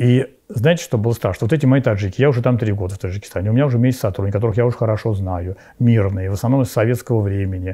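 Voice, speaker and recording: Against a quiet background, a man with a fairly low pitch speaks in a dark, mellow, somewhat breathy tone with ordinary pitch variation. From Russia, Sergiev Posad (Moscow region); Moscow region, Russia. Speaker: Orthodox bishop. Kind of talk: interview, personal recollections. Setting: at his home. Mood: calm, earnest. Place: cafe.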